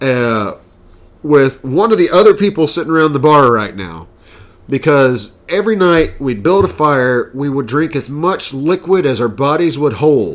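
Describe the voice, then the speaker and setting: A man's unremarkable speaking voice, fairly high in pitch, with lively intonation and a moderate pace. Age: 30s. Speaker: podcast co-host. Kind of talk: casual chat.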